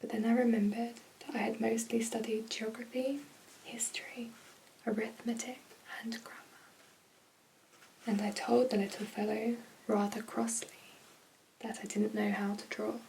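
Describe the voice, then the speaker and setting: A woman with a British accent speaks at a moderate pace in a fairly high, monotone, flat voice, leaving long, frequent pauses. Light background noise sits under her speech. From UK. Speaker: ASMR creator. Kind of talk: bedtime story reading. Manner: soft-spoken, whispering. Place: home room. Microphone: phone near.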